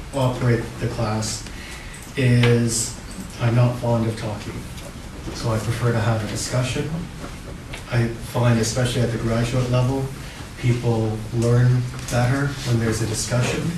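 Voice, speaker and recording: Amid noticeable background noise and audible room echo, a man speaks at a fairly slow pace and medium pitch in a monotone, flat delivery with long, frequent pauses. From Canada. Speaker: law lecturer. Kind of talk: lecture.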